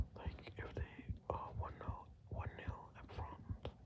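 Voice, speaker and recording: Noticeable background noise is present. Over it, a man whispers. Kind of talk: ASMR whispered fact-telling about football. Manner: whispered, slow, hesitant with filler words.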